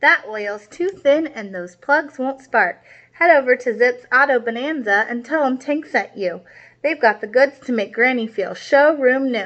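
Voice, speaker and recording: A woman speaks in a put-on character voice, pitched high. Her pace is moderate. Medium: read story. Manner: sly, rough, growling.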